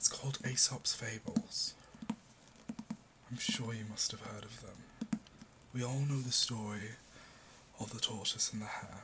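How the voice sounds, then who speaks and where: A man speaks at a fairly slow pace with a British accent, his tone gentle. Long pauses come often, and background noise is noticeable. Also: big swings in loudness. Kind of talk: casual ASMR talk to the listener. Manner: soft, gentle, relaxing.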